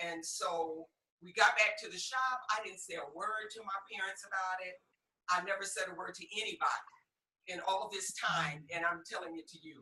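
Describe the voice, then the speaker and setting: A woman with an unremarkable speaking voice speaks in an American accent at a moderate pace. Her pitch variation is ordinary, while her loudness swings widely. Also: medium pitch for a woman. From US Midwest, Detroit, Michigan. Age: 60s. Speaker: podcast guest. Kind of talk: personal testimony interview.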